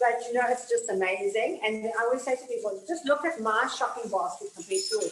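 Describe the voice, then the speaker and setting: Over noticeable background noise, a woman with a fairly high voice talks at a fairly quick pace, her pitch swinging very widely. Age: 70s. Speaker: TV cooking show host. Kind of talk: casual chat. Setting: kitchen.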